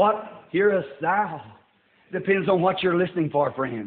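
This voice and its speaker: Heard with audible room echo, a man with an American accent speaks at a moderate pace with ordinary pitch variation. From United States. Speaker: preacher. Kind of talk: sermon. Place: church.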